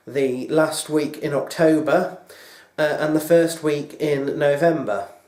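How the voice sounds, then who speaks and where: At a very slow pace, a man talks in a fairly high pitch amid audible room echo. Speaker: video blogger. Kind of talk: casual vlog monologue. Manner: hesitant, many fillers.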